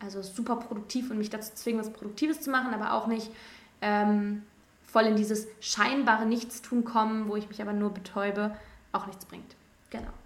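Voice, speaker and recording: Amid noticeable background noise and audible room echo, a woman with fairly high pitch speaks in a monotone, flat way with big swings in loudness. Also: moderate pace. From Rhineland, Germany (between Cologne and Düsseldorf). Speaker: podcast host, student teacher. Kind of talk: solo monologue, casual personal talk. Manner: casual, many fillers.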